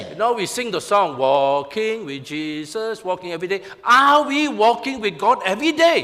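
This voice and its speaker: Noticeable background noise behind a man's high-pitched voice, with very wide pitch swings and a moderate pace. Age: 60s. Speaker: pastor. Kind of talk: sermon.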